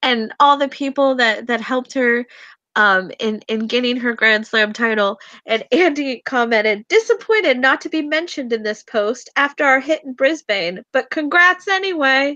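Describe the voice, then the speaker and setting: Against a quiet background, a woman projects a raised, high-pitched voice with a bright, sharp tone and lively intonation at a moderate pace, the sound dry and close with no echo. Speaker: tennis webcast host. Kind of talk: casual chat. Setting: webcast.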